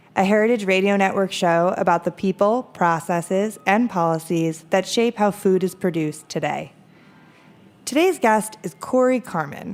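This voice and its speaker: A woman speaks with an American accent at a medium pitch. Her pace is moderate and her pitch varies in an ordinary way. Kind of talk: radio host introduction. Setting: radio show.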